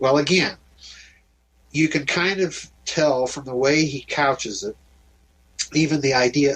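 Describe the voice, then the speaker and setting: This man has a plain, everyday voice with an American accent. His pitch is fairly high and his pace moderate. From US Midwest, South Dakota. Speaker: author and researcher. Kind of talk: interview on radio show.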